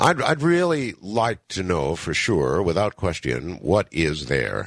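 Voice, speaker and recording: A man talks at a fairly slow pace in a very deep, low pitch with vocal fry. His pitch swings very widely. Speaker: radio talk show host. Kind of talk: late-night radio broadcast. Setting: radio studio.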